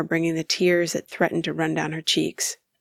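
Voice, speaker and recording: Recorded dry and close with no echo, a woman speaks at a fairly low pitch with vocal fry. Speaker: voice actor. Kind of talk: audiobook narration.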